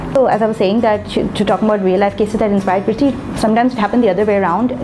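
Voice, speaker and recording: Over background music, a woman talks at a very fast pace with very even loudness. Her pitch is fairly high and her intonation fairly even. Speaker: book reviewer. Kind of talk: casual review vlog. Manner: hesitant, many fillers.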